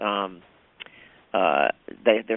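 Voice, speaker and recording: Talking at a moderate pace, a man speaks with a Southern accent in a fairly low pitch. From US South. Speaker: theater director. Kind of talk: interview.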